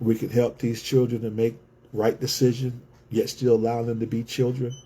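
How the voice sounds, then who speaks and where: In a monotone, flat delivery at a moderate pace, a man speaks at a medium pitch with a somewhat breathy, dark, mellow tone. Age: 60s. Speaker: community organizer and author. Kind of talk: livestream monologue. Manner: repetitive, emphatic.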